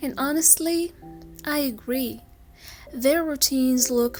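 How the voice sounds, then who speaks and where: Over music in the background, a soft-spoken woman with a high pitch talks at a fairly slow pace with ordinary pitch variation. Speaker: English teacher. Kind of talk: slow English sleep talk. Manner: soft-spoken, slow, gentle.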